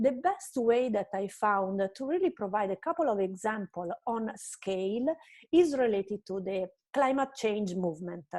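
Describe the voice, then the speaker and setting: A woman with an Italian accent speaks fairly slowly at a fairly high pitch, her tone dark and mellow and her intonation lively. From Italy. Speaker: marketing strategist. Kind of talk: online presentation lecture.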